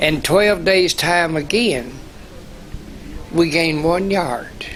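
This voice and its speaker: With an American accent and a fairly high pitch, a man talks at a very slow pace with fairly even intonation, amid audible room echo and noticeable background noise. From Kentucky (Garrard County). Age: 80s+. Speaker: war veteran. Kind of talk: oral history interview. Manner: halting.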